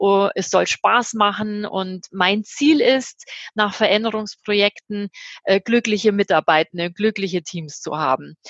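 A woman talks at a fairly slow pace in a medium pitch, with ordinary pitch variation. The sound is dry and close, with no echo. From Germany. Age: 50s. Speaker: change management consultant. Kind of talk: interview. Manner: hesitant, many fillers.

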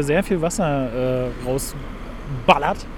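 Lively intonation from a man, with noticeable background noise behind. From Berlin. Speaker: podcast host. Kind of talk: casual chat.

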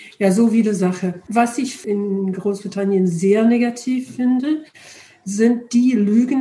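Amid noticeable background noise, a woman talks very slowly at a medium pitch, her intonation fairly even. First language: English (speaking German). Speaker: retired charity director, European volunteering advocate. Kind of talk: interview. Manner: halting, hesitant.

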